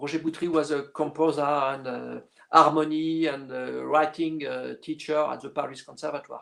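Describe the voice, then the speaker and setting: A man's fairly high, monotone voice with flat intonation and a French accent, at a moderate pace. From northern France, Lille. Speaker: orchestral clarinetist. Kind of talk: interview. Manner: halting, many fillers.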